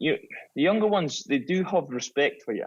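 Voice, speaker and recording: A man with a Scottish accent and lively intonation. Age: 30s. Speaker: former professional footballer. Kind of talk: podcast interview, casual chat.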